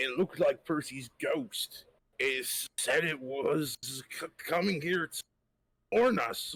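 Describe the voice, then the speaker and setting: Putting on a raspy character voice, a man speaks high in pitch with lively intonation at a fairly slow pace. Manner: frightened, stammering.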